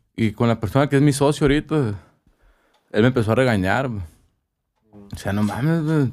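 With big swings in loudness and long, frequent pauses, a man at medium pitch talks at a fairly quick pace with ordinary pitch variation. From Ciudad Obregón, Sonora, Mexico. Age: 30s. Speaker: tattoo artist. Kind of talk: casual chat.

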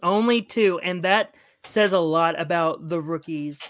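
In a very clean recording with a silent background, a woman with a plain, everyday voice speaks at a fairly low pitch with lively intonation. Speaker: podcast host. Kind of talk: casual chat.

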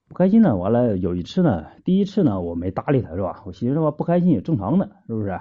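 Hardly pausing, a man speaks at a very fast pace with very wide pitch swings. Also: medium pitch for a man. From Shenyang, northeast China. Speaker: caller. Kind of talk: phone-in advice chat.

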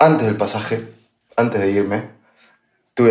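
A man with a dark, mellow tone, fairly low pitch and vocal fry talks at a fairly quick pace with fairly even intonation amid audible room echo. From Argentina, La Pampa. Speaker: podcast co-host, tech sales. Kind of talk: casual chat.

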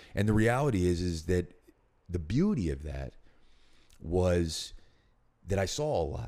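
In a Philadelphia accent, a man speaks with a very deep, low pitch and a dark, mellow tone, his pitch swinging very widely. He goes at a fairly slow pace with long, frequent pauses. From Northeast Philadelphia. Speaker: actor and writer. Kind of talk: casual interview.

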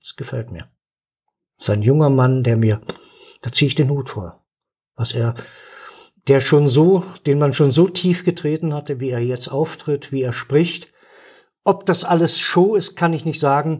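The voice moves with ordinary pitch variation and long, frequent pauses, captured in a very clean recording with a silent background. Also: man, fairly high pitch for a man. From Saxony, eastern Germany (Dresden). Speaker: retired stage actor. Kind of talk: casual chat. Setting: studio at a table. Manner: animated.

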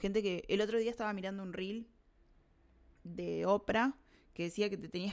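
Her intonation fairly even, a woman speaks at a medium pitch. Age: 30s. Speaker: podcast host. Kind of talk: personal monologue. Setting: recording during online class.

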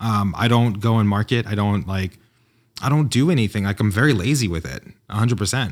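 An unremarkable speaking voice with an American accent, fairly quick pace and ordinary pitch variation, in a very clean recording with a silent background. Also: man, fairly low pitch for a man. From New York. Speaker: entrepreneur and designer. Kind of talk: casual interview chat. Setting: in-person studio.

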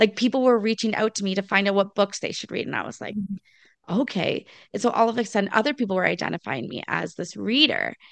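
Speaking very fast in a Canadian accent, a woman of medium pitch sounds animated, with vocal fry, ordinary pitch variation and big swings in loudness. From Ontario, Canada (small town, Bruce Peninsula). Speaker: podcast host appearing as guest. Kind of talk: casual interview chat. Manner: animated, talkative.

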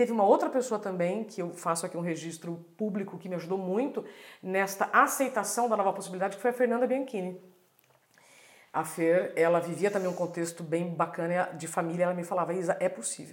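A woman speaks fairly quickly in an ordinary speaking voice, at medium pitch with ordinary pitch variation. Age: 40s. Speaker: journalist and speaker. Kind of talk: casual chat.

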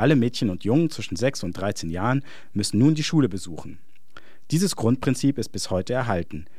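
Speaking at a fairly quick pace, a man with a medium pitch uses a dark, mellow tone and lively intonation. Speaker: essayist. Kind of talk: scripted narration.

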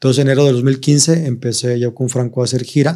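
A man with a dark, mellow tone talks at a moderate pace and medium pitch in a monotone, flat intonation. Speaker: comedian. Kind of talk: casual chat.

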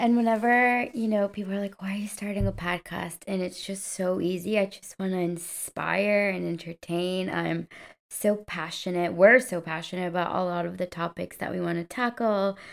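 A woman with a Spanish accent speaks at a medium pitch and moderate pace with fairly even intonation. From Colombia. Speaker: podcast co-host. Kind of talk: casual chat.

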